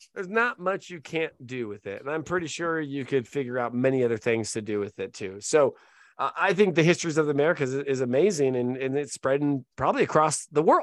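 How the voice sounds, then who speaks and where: Against a quiet background, a man talks at a fairly quick pace with hardly any pauses, his fairly high voice animated and his intonation lively. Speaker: podcast host. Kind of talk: casual chat.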